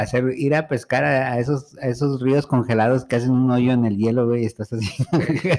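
An ordinary speaking voice from a man at medium pitch and a moderate pace, with ordinary pitch variation, very even loudness and hardly any pauses. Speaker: podcast co-host. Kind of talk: casual chat. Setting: studio.

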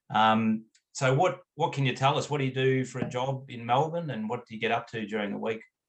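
A man with an Australian accent, somewhat breathy, medium in pitch, with ordinary pitch variation and a fairly quick pace. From country Australia. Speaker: cricket club owner. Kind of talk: interview.

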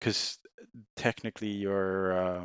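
In a Swedish accent, a man speaks with a very deep, low pitch. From Sweden. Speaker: former banker. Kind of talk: casual chat.

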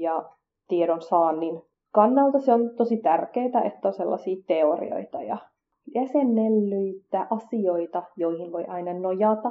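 This woman talks at a very slow pace. Her pitch is medium. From Finland, Kurdish family. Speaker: podcast host. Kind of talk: scripted podcast monologue.

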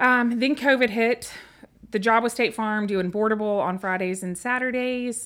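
In a Tennessee accent, a woman speaks at a fairly high pitch. Her pace is moderate and her intonation fairly even. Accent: Southern US (Tennessee). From West Tennessee, US South (Humboldt, Memphis). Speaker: small business owner, charcuterie shop founder. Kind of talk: casual interview chat.

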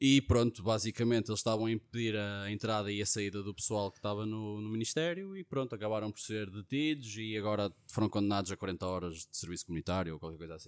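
At a very fast pace with big swings in loudness, the voice comes through dry and close with no echo on a very clean recording with a silent background. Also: man, fairly low pitch for a man, ordinary pitch variation. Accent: European Portuguese. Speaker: podcast co-host. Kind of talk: casual chat.

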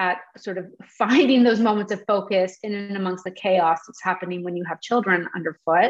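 This woman has a plain, everyday voice, with a medium pitch, ordinary pitch variation and a moderate pace. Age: 40s. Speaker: novelist and journalist. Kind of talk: interview conversation.

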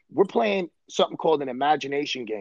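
The sound is dry and close, with no echo. A man with a New York accent speaks with ordinary pitch variation. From Brooklyn, New York. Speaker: baseball coach. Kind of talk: casual chat.

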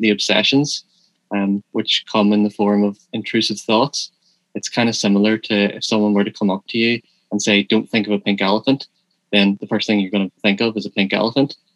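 A man with an unremarkable speaking voice talks fairly quickly at a fairly low pitch, with fairly even intonation. The sound is dry and close, with no echo. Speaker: pharmacy student and writer. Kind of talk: interview.

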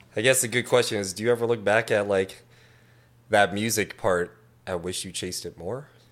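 On a very clean recording with a silent background, a man speaks in a normal speaking voice at a fairly low pitch, a fairly quick pace and fairly even intonation. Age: 30s. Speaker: tattoo artist. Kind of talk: casual chat.

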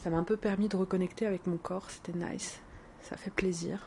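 A woman's medium-pitched voice, fairly quick and monotone with flat intonation. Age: 20s. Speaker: podcaster keeping an audio diary. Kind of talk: personal audio diary. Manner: hesitant, many fillers.

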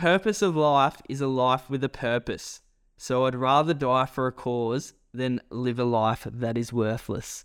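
Recorded very cleanly against a silent background, a man talks at a medium pitch with an Australian accent. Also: ordinary pitch variation, fairly slow pace. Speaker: podcast co-host. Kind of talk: casual chat.

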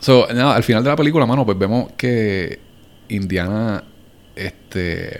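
A man talks in a normal speaking voice, medium in pitch with ordinary pitch variation, at a fairly slow pace. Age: 30s. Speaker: podcast host. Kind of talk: casual chat.

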